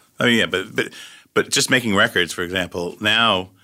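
A fairly low-pitched man with a bright, sharp tone in a very clean recording against a silent background. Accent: New York. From Long Island, New York (Syosset). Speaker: record producer and music supervisor. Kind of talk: casual chat. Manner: fast.

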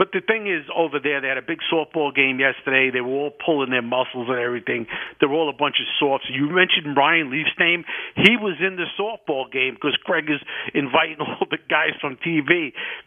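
A man's fairly high-pitched, plain, everyday voice with an American accent, ordinary pitch variation and a fairly quick pace. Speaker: caller. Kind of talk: casual chat. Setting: phone call.

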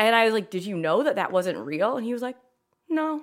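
The woman speaks at a fairly quick pace with lively intonation. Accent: American. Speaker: art teacher and potter. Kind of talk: casual interview chat. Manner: loud talker, interrupts, jumps around.

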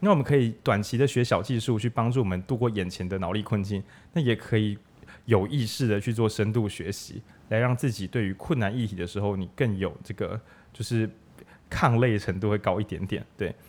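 His pitch sits fairly low and varies in an ordinary way. The background is silent and the recording very clean. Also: fairly quick pace. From Changhua, Taiwan. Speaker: bookstore radio host. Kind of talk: casual book discussion. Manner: animated.

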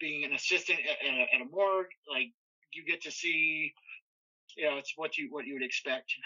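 A man speaks at a fairly quick pace but leaves long, frequent pauses. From Southern California. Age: 30s. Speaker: paranormal investigator. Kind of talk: casual chat. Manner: halting.

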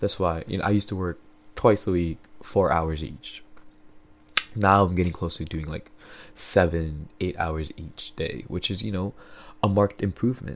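At a moderate pace, a man speaks with a very deep, low pitch and ordinary pitch variation. Long, frequent pauses break up his speech. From Philippines. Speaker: podcast host. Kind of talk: casual solo monologue. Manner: casual, filler-heavy.

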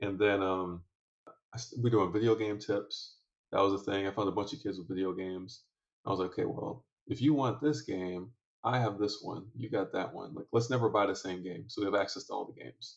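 A man with a normal speaking voice and fairly low pitch shows ordinary pitch variation and big swings in loudness. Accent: American. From Michigan, Detroit area. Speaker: entrepreneur and venture investor. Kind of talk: podcast interview. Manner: casual, frequent fillers.

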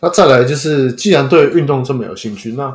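Somewhat breathy and fairly high in pitch, a man speaks at a fairly quick pace. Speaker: podcast host. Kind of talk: casual chat.

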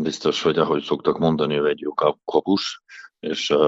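Very deep and low in pitch, this man's voice moves at a moderate pace. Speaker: national team handball coach. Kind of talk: sports interview. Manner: halting.

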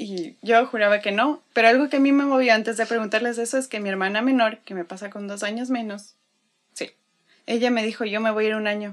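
A woman in a normal speaking voice talks at a fairly quick pace with fairly high pitch, fairly even intonation and big swings in loudness, on a very clean recording with a silent background. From Ecuador, Quito. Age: 20s. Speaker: religious volunteer. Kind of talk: testimony.

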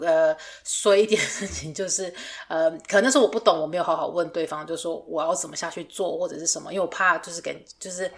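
A woman talks at a fairly quick pace in a normal speaking voice. Her loudness swings widely. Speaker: podcast host, fashion designer. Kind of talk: casual chat.

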